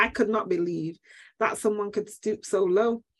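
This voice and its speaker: A woman with a Manchester accent speaks at a fairly high pitch. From Manchester, England. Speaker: HR coach and speaker. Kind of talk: interview storytelling. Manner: well-spoken.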